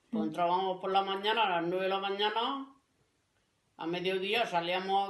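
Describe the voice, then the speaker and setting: A woman speaks at a medium pitch, with audible room echo. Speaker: grandparent interviewee. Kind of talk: interview.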